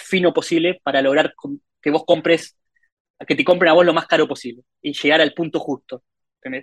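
Dry and close with no echo, a fairly high male voice moves at a moderate pace. His intonation stays flat and monotone. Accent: Rioplatense. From Argentina. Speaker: mobile game monetization lead. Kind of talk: casual interview. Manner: hesitant with filler words and repetitions.

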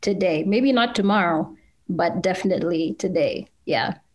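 A woman with an American accent uses a plain, everyday voice at a medium pitch with ordinary pitch variation. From Kenya, then US from age 12. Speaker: journalist and podcast festival co-founder. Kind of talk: casual interview.

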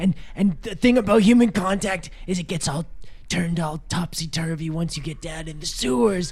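Speaking at a moderate pace, a man has a high voice. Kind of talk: comic improvised role-play. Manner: folksy, drawling, overconfident.

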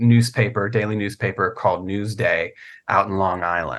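Against a quiet background, a man with an American accent speaks at a moderate pace with a fairly low pitch and fairly even intonation. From Virginia, US. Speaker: novelist and comic book writer. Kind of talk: casual interview chat. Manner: halting, many fillers and repeats.

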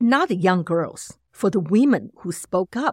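In a very clean recording with a silent background and a dry, close sound with no echo, a woman with a Chinese accent speaks at a medium pitch with lively intonation. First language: Mandarin Chinese. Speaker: associate professor of communication. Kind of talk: interview.

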